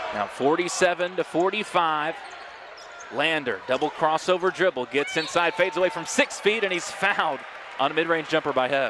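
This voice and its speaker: A man speaks with a high pitch and ordinary pitch variation. There is noticeable background noise. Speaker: play-by-play sports commentator. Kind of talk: live commentary. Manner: fast.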